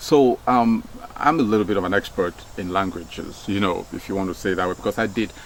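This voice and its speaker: A man with a Nigerian accent speaks at a very fast pace. His pitch is fairly low, with ordinary variation. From Nigeria, Delta State. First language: Nigerian Pidgin. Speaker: former radio broadcaster. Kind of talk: casual talk. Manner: hesitant, many fillers and repeats.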